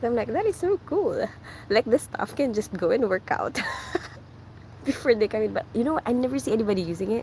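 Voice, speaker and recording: The speaker talks at a fairly quick pace with very wide pitch swings and long, frequent pauses, over noticeable background noise. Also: woman, fairly high pitch for a woman. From Philippines. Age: 30s. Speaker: nurse and live streamer. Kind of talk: casual live stream chat reading comments. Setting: walking on the way to work. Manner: fast.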